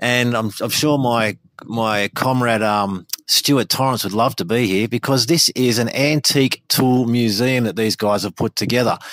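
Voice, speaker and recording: With an Australian accent, the speaker keeps a moderate pace, very even loudness and fairly even intonation in a dry, close sound with no echo. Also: man, medium pitch for a man. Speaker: podcast segment presenter. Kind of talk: field interview. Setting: outdoors.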